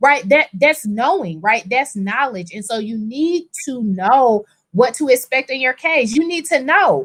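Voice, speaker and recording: A loud, animated woman's voice, high in pitch with very wide pitch swings, fairly slow yet with hardly any pauses. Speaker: personal injury attorney. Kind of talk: casual chat.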